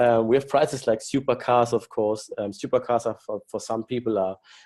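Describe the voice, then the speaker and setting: With a German accent, a man talks in a dark, mellow tone. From Germany. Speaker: company executive presenting business plan. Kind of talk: business webinar presentation. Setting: online webinar. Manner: halting with many fillers.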